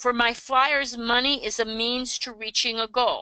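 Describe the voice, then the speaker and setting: A woman's bright, sharp voice at a moderate pace, dry and close with no echo, over a quiet background. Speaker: financial coach. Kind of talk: webinar teaching.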